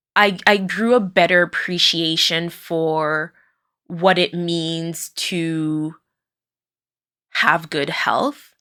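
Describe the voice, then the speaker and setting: A woman's very slow, bright, sharp voice in a French Canadian accent, fairly even in intonation with long, frequent pauses, on a very clean recording with a silent background. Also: fairly low pitch for a woman. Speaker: podcast host, occupational therapist. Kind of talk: personal monologue. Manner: hesitant, many fillers.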